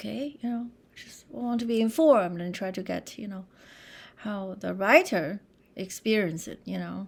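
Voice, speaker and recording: Speaking at a moderate pace with a Chinese accent, a woman uses lively intonation at medium pitch, with vocal fry. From China. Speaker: composer. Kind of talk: interview conversation.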